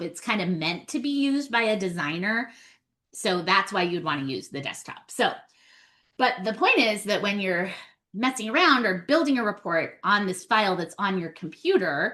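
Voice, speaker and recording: A woman talks at a medium pitch and a moderate pace. Her tone is bright and sharp, with lively intonation. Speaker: data trainer / webinar presenter. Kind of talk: webinar tutorial. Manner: casual, conversational.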